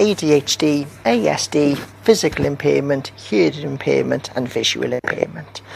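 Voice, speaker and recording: With a British accent, a man talks at a fairly slow pace against noticeable background noise. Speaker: university lecturer. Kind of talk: lecture.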